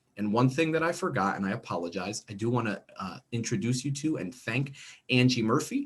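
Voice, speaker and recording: A man talks in an animated tone with a New Jersey accent. His pace is moderate and his intonation lively. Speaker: instructional coach. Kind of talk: online training workshop. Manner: casual, animated.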